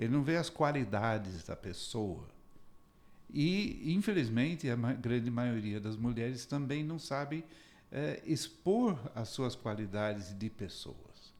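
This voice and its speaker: Here a man speaks at a very slow pace. His intonation is lively. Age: 70s. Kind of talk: interview conversation.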